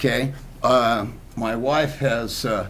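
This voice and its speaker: A man at medium pitch is heard with audible room echo. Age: 60s. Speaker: personal trainer. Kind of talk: talk show interview.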